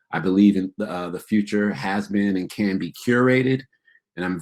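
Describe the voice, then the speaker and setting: A man with an American accent and an ordinary speaking voice, fairly low in pitch, at a moderate pace. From upstate New York. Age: 50s. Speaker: keynote speaker, educator. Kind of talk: keynote talk.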